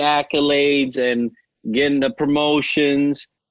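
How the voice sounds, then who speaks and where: In a New York accent, a man speaks at a very slow pace. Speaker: navy veteran and leadership coach. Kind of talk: podcast interview. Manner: conversational, frequent fillers.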